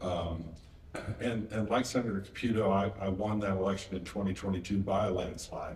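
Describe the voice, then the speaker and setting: Through noticeable background noise and audible room echo, a man with an American accent talks at a fairly low pitch and a fairly quick pace, his intonation fairly even. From West Virginia. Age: 60s. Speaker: state senator. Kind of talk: panel interview.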